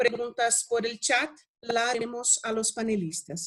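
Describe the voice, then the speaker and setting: A woman speaks with a Portuguese accent. Her pitch is fairly high, and her pace is fairly slow. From Brazil. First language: Portuguese (speaking Spanish). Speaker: radio researcher and panel moderator. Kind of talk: moderating online panel, reading introductions. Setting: video call. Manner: formal.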